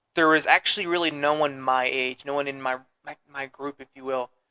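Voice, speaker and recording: The tone is bright and sharp, with fairly even intonation at a moderate pace. The sound is dry and close, with no echo. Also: man. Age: young. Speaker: podcast guest, former musical theater performer. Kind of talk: casual interview chat. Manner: hesitant, many fillers.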